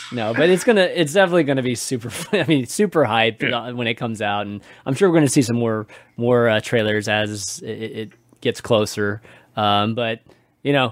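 A man with an ordinary speaking voice, medium pitch with ordinary variation, at a fairly quick pace. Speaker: podcast host. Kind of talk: casual chat.

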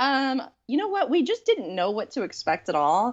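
Speaking with an American accent, the woman keeps a moderate pace. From East Texas. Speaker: author. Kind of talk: casual chat.

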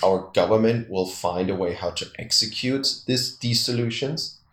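Speaking at a fairly slow pace, a man with a medium pitch sounds somewhat breathy and uses ordinary pitch variation. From Austria, Vienna. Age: 30s. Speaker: tour guide. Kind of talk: interview.

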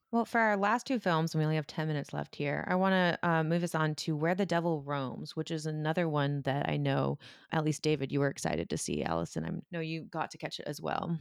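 On a very clean recording with a silent background, a woman with a very deep, low pitch speaks at a very fast pace with hardly any pauses. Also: ordinary pitch variation. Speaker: horror podcast co-host. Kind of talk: casual chat.

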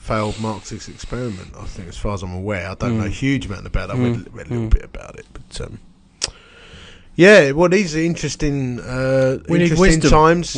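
A man with a British accent, very wide pitch swings and big swings in loudness. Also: medium pitch for a man, moderate pace. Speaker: podcast co-host. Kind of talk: casual, chatty.

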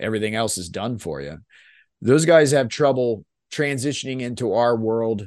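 The speech comes at a moderate pace in a dry, close sound with no echo. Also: man, quiet background. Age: 40s. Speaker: corporate pilot and podcast co-host. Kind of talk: casual chat. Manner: halting.

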